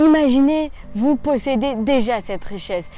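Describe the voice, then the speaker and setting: A woman's voice carries audible room echo. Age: 20s. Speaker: motivational youtuber. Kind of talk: motivational talk.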